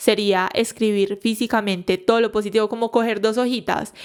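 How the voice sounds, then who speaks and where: Fairly high in pitch, a woman talks in an animated tone at a fairly quick pace. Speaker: psychologist podcast host. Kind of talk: solo podcast talk. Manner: fast.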